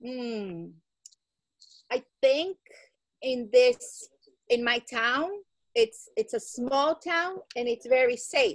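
In a Portuguese accent, a woman speaks at a high pitch with lively intonation. She goes at a very slow pace with long, frequent pauses, and the sound is dry and close with no echo. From Brazil. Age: 40s. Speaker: English teacher. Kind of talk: casual Q&A chat with students. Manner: slow, simple English.

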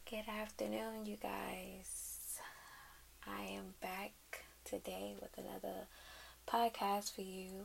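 A woman uses a put-on character voice, hoarse and fairly slow, with long, frequent pauses over clear background noise.

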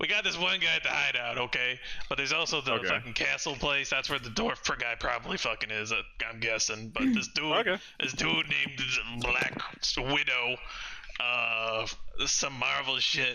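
A man puts on a strained character voice. Clear background noise runs under him. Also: moderate pace. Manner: fast-talking, wheedling, streetwise.

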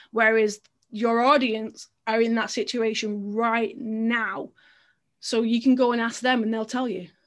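A woman with an English accent speaks at a fairly slow pace in a fairly high pitch. Her intonation is monotone and flat, on a very clean recording with a silent background. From England. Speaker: storytelling marketer and funnel builder. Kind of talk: casual interview.

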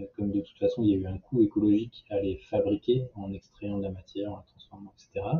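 The man speaks with lively intonation. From southern France. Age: 30s. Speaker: social entrepreneur. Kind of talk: interview. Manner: hesitant with fillers.

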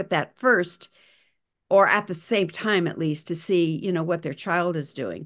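A woman with an American accent and a fairly low pitch talks at a moderate pace with ordinary pitch variation over a quiet background. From US West, Montana. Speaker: retired school psychologist and author. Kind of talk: interview. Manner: halting, many fillers and repeats.

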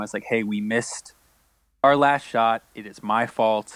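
An ordinary speaking voice with an American accent, fairly even intonation and a moderate pace. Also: man. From Florida, Orlando. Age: 30s. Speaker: concert videographer and photographer. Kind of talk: casual interview chat.

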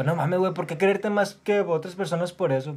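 The man's voice sits at a high pitch. His intonation is fairly even. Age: 20s. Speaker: podcaster, student. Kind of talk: casual monologue. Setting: at home. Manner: fast.

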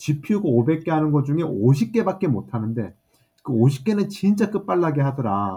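A man speaks at a very slow pace with a fairly high pitch, very wide pitch swings and a dark, mellow, somewhat breathy tone. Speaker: AI chip startup CEO. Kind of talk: casual interview.

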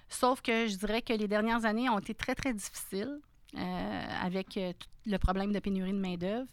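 This woman has a normal speaking voice at a medium pitch, with fairly even intonation. She talks at a moderate pace on a very clean recording with a silent background. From Quebec, Sainte-Thérèse area north of Montreal. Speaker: restaurant franchise owner. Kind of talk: interview conversation.

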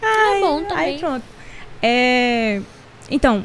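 A woman speaks over noticeable background noise. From Recife, Pernambuco, Brazil. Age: 30s. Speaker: digital influencer and makeup artist. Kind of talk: casual interview chat. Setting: studio. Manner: talkative, animated.

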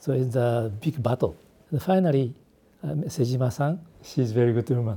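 The speaker has a Japanese accent. The pace is fairly quick. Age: 70s. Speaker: architect. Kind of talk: interview. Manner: halting.

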